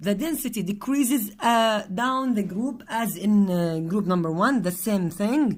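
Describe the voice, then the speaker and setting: Lively intonation carries a somewhat breathy voice at a fairly slow pace. The recording is very clean, with a silent background. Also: woman. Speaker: chemistry teacher. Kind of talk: lecture.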